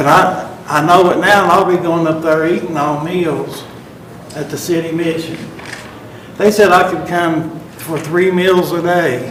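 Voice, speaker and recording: A man's high pitch, monotone and flat, at a fairly slow pace, with audible room echo and noticeable background noise. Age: 60s. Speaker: defendant. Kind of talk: court testimony. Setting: courtroom.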